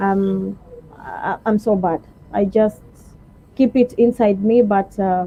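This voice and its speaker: Pausing long and often, a woman speaks at a very slow pace with fairly even intonation over noticeable background noise. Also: medium pitch for a woman. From Kenya, Kilifi (Giriama). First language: Giriama. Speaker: shop salesperson. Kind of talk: interview.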